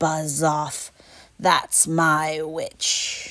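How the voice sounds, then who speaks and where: Someone is doing a put-on character voice. The pitch sits in the middle range. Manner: menacing.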